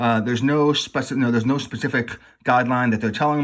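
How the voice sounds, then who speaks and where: The recording is very clean, with a silent background. A man with an American accent talks at a fairly quick pace and medium pitch, with ordinary pitch variation. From immigrant, schooled in the US from childhood. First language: non-English language. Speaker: YouTuber discussing legal issues. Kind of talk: casual commentary to camera. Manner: hesitant, many fillers and restarts.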